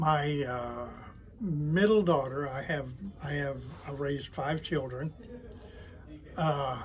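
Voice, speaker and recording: With an American accent, a man speaks at a very slow pace and a fairly high pitch, with ordinary pitch variation and audible room echo. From Oklahoma City area, US. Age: 80s+. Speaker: retiree and toy glider maker. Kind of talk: interview. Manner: halting, many fillers.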